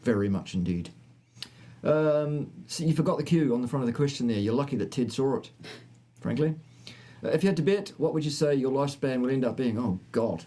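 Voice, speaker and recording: A man's dark, mellow, fairly high voice, fairly quick in pace, with lively intonation and long, frequent pauses. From New Zealand. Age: 50s. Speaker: health science presenter. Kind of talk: live stream Q&A chat.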